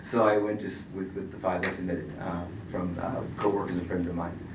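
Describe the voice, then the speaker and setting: A man talks with fairly even intonation. The recording carries noticeable background noise and audible room echo. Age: 50s. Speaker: certified responder facing a certification review. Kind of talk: statement at a hearing. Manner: fast; mumbling.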